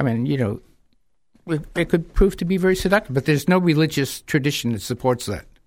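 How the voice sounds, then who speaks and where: Very fast and with lively intonation, a man with an American accent speaks in a fairly high voice on a very clean recording with a silent background. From New Hampshire, US (Manchester). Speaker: speaker on Islam. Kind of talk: radio interview.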